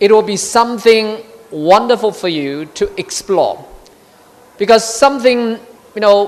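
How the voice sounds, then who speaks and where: Noticeable background noise runs under speech broken by long, frequent pauses. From China. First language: Chinese. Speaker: diplomat. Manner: halting.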